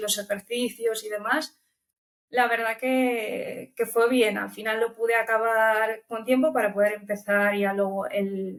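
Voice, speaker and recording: A woman's fairly high voice, fairly slow and fairly even in intonation. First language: Romanian (speaking Spanish). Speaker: language student. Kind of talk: interview. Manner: hesitant, with filler repetitions.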